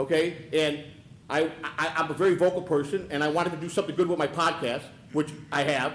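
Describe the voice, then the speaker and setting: A man's fairly high voice, flat and monotone, at a fairly quick pace over noticeable background noise. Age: 60s. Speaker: public commenter at council meeting. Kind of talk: public comment. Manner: halting, repeats words.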